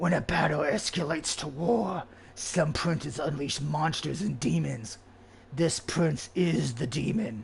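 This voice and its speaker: The speaker uses a put-on character voice at a fairly slow pace. Background noise is clear throughout. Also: man, fairly high pitch for a man. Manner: ominous.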